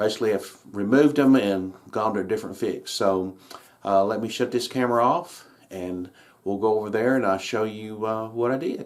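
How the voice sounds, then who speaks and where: A man's fairly low-pitched voice at a moderate pace, with ordinary pitch variation. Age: 60s. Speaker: model railroad hobbyist. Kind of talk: casual video tutorial. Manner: halting, many fillers.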